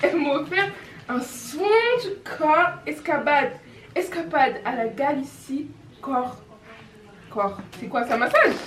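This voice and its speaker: Very slowly, with long, frequent pauses, a woman speaks at a high pitch with very wide pitch swings over noticeable background noise. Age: 20s. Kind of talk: casual vlog talk to camera.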